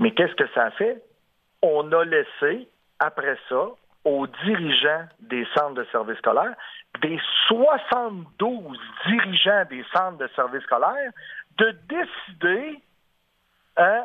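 The speaker talks at a very slow pace, leaving long, frequent pauses between very wide pitch swings. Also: man, high pitch for a man. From Quebec City area. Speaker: union leader. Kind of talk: radio interview. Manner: halting.

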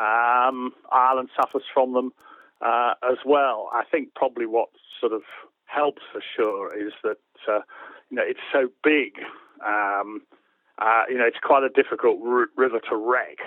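This man's delivery is fairly slow. Long pauses come often as he talks. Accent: English. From England. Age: 60s. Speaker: author and angler. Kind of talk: casual interview chat.

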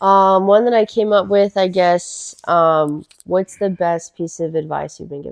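A woman with a plain, everyday voice speaks fairly slowly and evenly, hardly pausing, though her loudness swings widely. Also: medium pitch for a woman, dry, close sound with no echo. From Florida, US (Miami, Fort Myers). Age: 30s. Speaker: trauma nurse. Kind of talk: casual chat.

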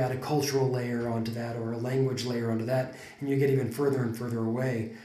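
Against noticeable background noise, a man with a General American accent talks at a very fast pace in a medium-pitched, monotone, flat voice. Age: 40s. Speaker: podcast host. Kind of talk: casual conversational podcast.

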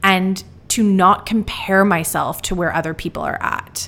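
A woman with an unremarkable speaking voice talks at a fairly slow pace, her pitch medium. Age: 20s. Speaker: podcast host. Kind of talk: solo reflective monologue.

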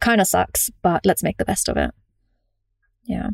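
In a British accent, a woman speaks at a fairly slow pace with a medium pitch and vocal fry, in a dry, close sound with no echo. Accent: British-tinged English. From Germany. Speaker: digital nomad community founder. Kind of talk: podcast interview.

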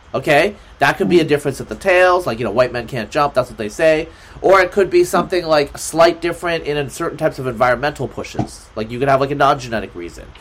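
A man with an American accent speaks at a very fast pace, with lively intonation and big swings in loudness. Noticeable background noise is present. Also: fairly high pitch for a man. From US Pacific Northwest, Oregon. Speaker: geneticist and writer. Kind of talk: casual interview.

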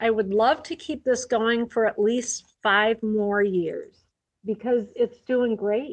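A woman at a fairly high pitch, very slow in pace, with fairly even intonation. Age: 60s. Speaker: record store owner. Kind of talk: casual chat.

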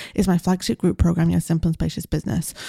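Very fast, somewhat breathy speech from a woman with a fairly low pitch and a dark, mellow tone, the sound dry and close with no echo. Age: 30s. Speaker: business coach and podcast host. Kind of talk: solo podcast monologue.

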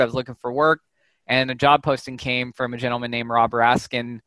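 With a Californian accent, a man talks very fast at a medium pitch. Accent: Californian American. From Southern California, Santa Clarita. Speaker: data scientist and professor. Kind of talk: interview.

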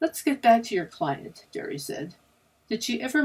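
Just an unforced reading voice.

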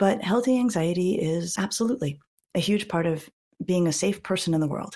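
A woman speaks in a calm tone. Her voice is somewhat breathy. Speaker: clinical psychologist and author. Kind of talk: interview conversation.

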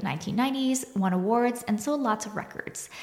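A woman's somewhat breathy delivery, its pitch varying in an ordinary way. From Quebec, Canada (small town). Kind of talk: solo podcast monologue.

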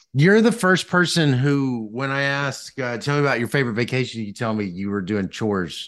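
With a Southern US accent, a man speaks at a medium pitch and a fairly quick pace, with hardly any pauses and a quiet background. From US South, Mississippi. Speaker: podcast host, economics professor. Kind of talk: interview conversation. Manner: halting, many fillers and restarts.

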